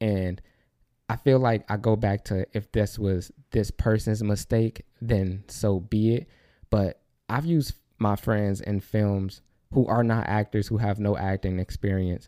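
On a very clean recording with a silent background and a dry, close sound with no echo, a man with fairly low pitch and a dark, mellow tone speaks at a fairly slow pace with fairly even intonation. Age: 20s. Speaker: podcast host and photographer. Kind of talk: casual monologue.

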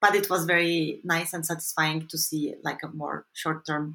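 Her voice is fairly low in pitch, and this woman's tone is bright and sharp. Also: very clean recording, silent background. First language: Turkish. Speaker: social anthropologist. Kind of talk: interview. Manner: halting.

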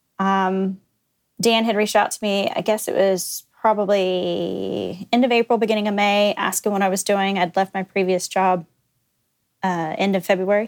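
A woman with an American accent speaks at medium pitch and a moderate pace. Her intonation is monotone and flat, and the recording is very clean with a silent background. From Texas, Dallas area. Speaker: company executive. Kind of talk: casual chat.

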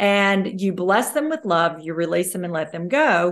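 A woman with a Southern US accent over a quiet background. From US South, North Mississippi. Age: 60s. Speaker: motivational speaker. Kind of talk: interview.

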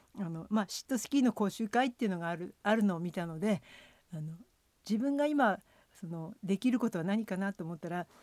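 A woman with an unremarkable speaking voice talks at a fairly quick pace, medium in pitch, with lively intonation and big swings in loudness. The recording is very clean with a silent background and a dry, close sound with no echo. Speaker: former cross-country skier and ski coach. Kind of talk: radio interview.

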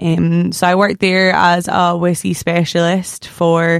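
In a Scottish accent, a woman speaks fairly slowly at a fairly low pitch, her intonation monotone and flat. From Scotland, near Stirling. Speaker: podcast host. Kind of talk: casual chat; interview.

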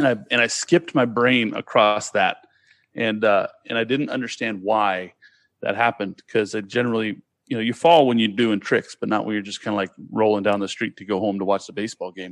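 A man with an American accent, fairly low-pitched, at a fairly quick pace with ordinary pitch variation, in a dry, close sound with no echo against a quiet background. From California, Sacramento. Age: 40s. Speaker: podcast guest. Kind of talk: casual chat.

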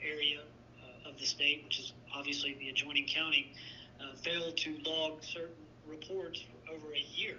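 This man has a fairly high pitch and an American accent. His intonation is monotone and flat, with noticeable background noise. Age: 40s. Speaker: district attorney. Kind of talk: interview. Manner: measured, formal.

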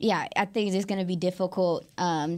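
A woman with a normal speaking voice, fairly low in pitch, fairly even intonation, moderate pace. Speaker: podcast co-host. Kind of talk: casual sports talk.

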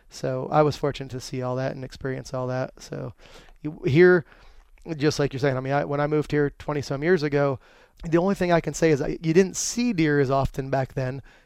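In an American accent and a normal speaking voice, a man talks at a fairly quick pace with a fairly high pitch and ordinary pitch variation. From rural Pennsylvania. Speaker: outdoors podcast co-host, hunter. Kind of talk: casual chat. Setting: studio.

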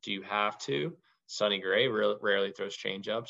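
Vocal fry runs through this man's fairly low-pitched voice. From Louisville, Kentucky. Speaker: college baseball head coach. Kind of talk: interview conversation. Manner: rambling, filler-heavy.

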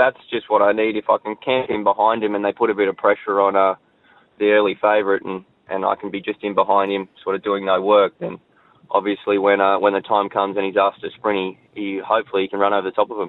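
Delivered at a very fast pace, the voice has an Australian accent and monotone, flat intonation. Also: man, fairly low pitch for a man. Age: 30s. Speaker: jockey. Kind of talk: radio interview.

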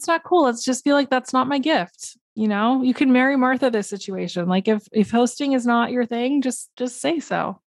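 With hardly any pauses, a woman talks at a moderate pace and high pitch with ordinary pitch variation, in a dry, close sound with no echo. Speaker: podcast co-host. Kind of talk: casual chat.

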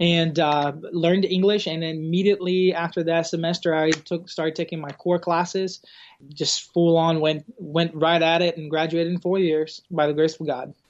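With a Portuguese accent, a man speaks at a moderate pace in a high pitch, his intonation monotone and flat. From Brazil. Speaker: campus pastor. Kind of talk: casual interview conversation.

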